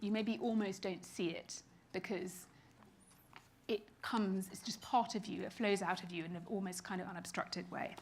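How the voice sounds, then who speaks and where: A woman with a British accent speaks at a medium pitch and a moderate pace. Her voice is somewhat breathy, with fairly even intonation. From Britain. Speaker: keynote speaker, creative strategy executive. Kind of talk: keynote talk. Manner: casual, conversational.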